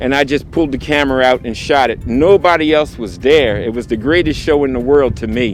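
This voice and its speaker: Over noticeable background noise, a man talks at a fairly quick pace, medium in pitch with ordinary pitch variation. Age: 60s. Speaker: photographer. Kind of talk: video interview. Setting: outdoors.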